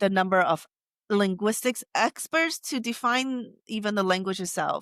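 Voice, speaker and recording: With a Taiwanese accent, a woman speaks at a medium pitch with lively intonation, the sound dry and close with no echo in a very clean recording with a silent background. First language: Taiwanese Hokkien. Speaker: AI researcher. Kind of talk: interview. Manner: halting.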